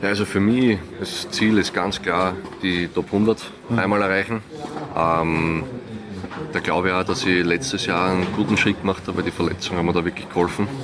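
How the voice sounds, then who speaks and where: A man speaks in a very deep, low pitch at a fairly quick pace. Noticeable background noise is present. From Austria. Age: 20s. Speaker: professional tennis player. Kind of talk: interview.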